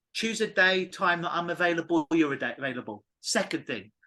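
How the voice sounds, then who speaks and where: A man's raised, projected voice, high in pitch, with an English accent, lively intonation and a bright, sharp tone. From England. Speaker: clinical hypnotist. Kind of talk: podcast interview. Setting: call.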